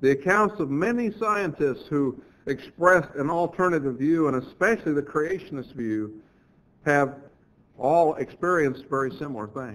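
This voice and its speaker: Lively intonation from a man with an unremarkable speaking voice, fairly high in pitch, at a moderate pace. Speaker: church lecturer, creationist speaker. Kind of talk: church lectureship sermon.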